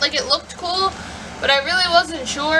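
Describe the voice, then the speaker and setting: Shouting in a raised, projected voice at an extremely high pitch, a woman speaks at a fairly quick pace over noticeable background noise. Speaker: book vlogger. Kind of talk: casual vlog. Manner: loud.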